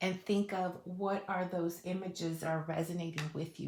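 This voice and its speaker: A somewhat breathy woman's voice, fairly low in pitch, with fairly even intonation and a moderate pace. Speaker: tarot reader. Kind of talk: tarot reading monologue. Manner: casual, many fillers.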